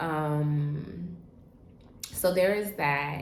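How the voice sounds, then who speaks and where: Audible room echo surrounds this woman as she talks at a very slow pace. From Trinidad. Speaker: travel vlogger. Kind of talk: casual vlog monologue. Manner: casual, conversational with many fillers.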